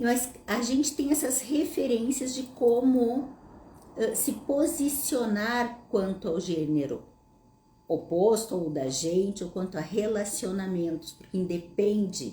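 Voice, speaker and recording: A woman's fairly high, somewhat breathy voice with a dark, mellow tone, a southern Brazilian accent, lively intonation and a fairly slow pace. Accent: gaúcho (southern Brazilian). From southern Brazil, Passo Fundo, Rio Grande do Sul. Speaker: psychologist / therapist. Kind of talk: live Q&A talk to audience. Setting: online livestream.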